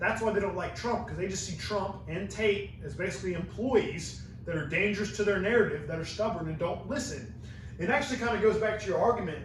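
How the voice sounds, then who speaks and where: Noticeable background noise and audible room echo accompany a man speaking at a fairly quick pace with a high pitch, an animated tone, and ordinary pitch variation. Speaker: podcast host and university student. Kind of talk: casual podcast conversation.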